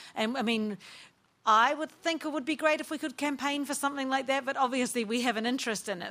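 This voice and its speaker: The voice has a bright, sharp tone and a New Zealand accent. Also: woman. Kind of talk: panel discussion. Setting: stage with live audience.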